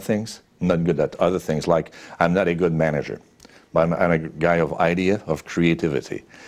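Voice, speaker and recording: A man with a Quebec accent speaks fairly quickly in a very deep, low voice, his intonation fairly even. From Quebec, Sherbrooke. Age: 60s. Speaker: businessman. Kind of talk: interview. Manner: frequent fillers and hesitations.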